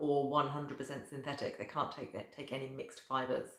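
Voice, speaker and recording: Over noticeable background noise and audible room echo, a woman with a very deep, low pitch talks at a very fast pace. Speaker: professional organiser. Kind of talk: talking-head video tutorial.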